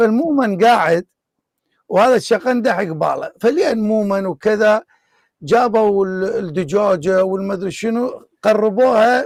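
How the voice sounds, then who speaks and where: A man with an Iraqi accent, high-pitched with ordinary variation, at a fairly slow pace. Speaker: online debate show host. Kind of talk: casual anecdote; live online debate.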